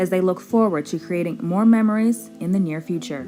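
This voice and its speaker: A woman talks with an American accent. Music plays in the background. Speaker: news anchor and multimedia journalist. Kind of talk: TV news reporting.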